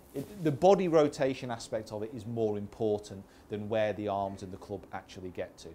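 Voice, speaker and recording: A man's dark, mellow voice with a Manchester accent, fairly low-pitched and fairly quick, with big swings in loudness. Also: ordinary pitch variation. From northern England, Greater Manchester. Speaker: golf coach. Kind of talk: golf show chat. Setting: indoor golf studio with audience.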